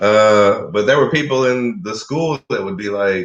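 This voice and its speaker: A man with a Kentucky accent talks at a medium pitch. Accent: Kentucky country twang. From Kentucky, US.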